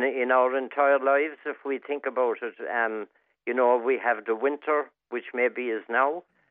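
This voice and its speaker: With an Irish accent, a man speaks in a fairly even intonation. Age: 70s. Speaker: regular contributor. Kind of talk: radio chat. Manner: halting.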